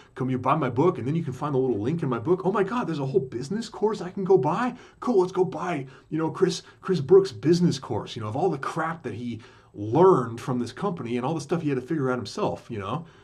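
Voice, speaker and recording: Through noticeable background noise, a man talks very fast in a fairly high pitch that swings very widely. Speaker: podcaster recounting a business scam. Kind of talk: casual monologue. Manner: halting, many fillers and restarts.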